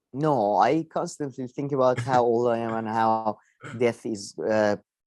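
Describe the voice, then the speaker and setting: With an ordinary speaking voice, a man at medium pitch talks at a fairly slow pace with fairly even intonation. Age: 30s. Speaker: satirical news show co-host. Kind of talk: casual chat.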